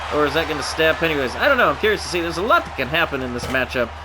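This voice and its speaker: Music plays in the background as a man speaks. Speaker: gaming commentator. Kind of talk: wrestling game commentary. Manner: casual, playful.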